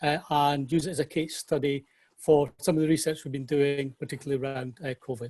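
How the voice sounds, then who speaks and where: Dry and close with no echo, a man in a Scottish accent speaks at a fairly high pitch with monotone, flat intonation. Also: fairly quick pace. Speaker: parks executive. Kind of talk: webinar presentation. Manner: fast.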